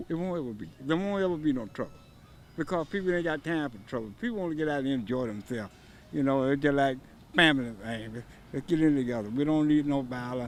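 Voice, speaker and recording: With an American accent, a man speaks at a very fast pace in a fairly high pitch, his intonation lively. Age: 70s. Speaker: event volunteer. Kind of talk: on-location interview.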